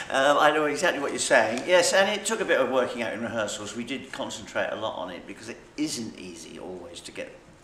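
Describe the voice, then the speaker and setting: A man talks very fast with a Suffolk accent, his pitch swinging very widely. Noticeable background noise and audible room echo fill the recording. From Suffolk, England. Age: old. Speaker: actor. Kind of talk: interview.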